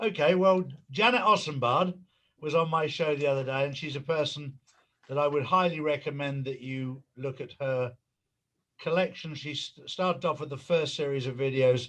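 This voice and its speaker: Over a quiet background, a man with an English accent speaks at a moderate pace and a fairly high pitch, his pitch varying in an ordinary way. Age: 60s. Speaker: conspiracy commentator. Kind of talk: interview.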